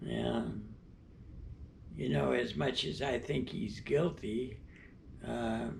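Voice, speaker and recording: A man talks at a very slow pace, with long, frequent pauses. The room echo is audible and background noise is noticeable. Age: 90s. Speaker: interviewee. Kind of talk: interview. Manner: halting.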